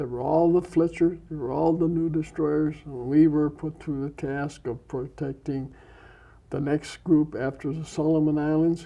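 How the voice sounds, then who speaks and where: In an Upper Midwest accent, a man with a fairly high pitch speaks at a moderate pace in a flat, monotone way. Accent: Upper Midwest American. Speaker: war veteran. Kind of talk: interview answer. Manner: soft-spoken.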